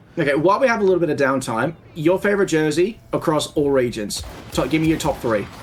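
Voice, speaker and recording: In an Australian accent, a man with a fairly high pitch talks at a very fast pace in an animated tone, his intonation lively and his loudness very even, with music playing in the background. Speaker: esports caster. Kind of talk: live commentary.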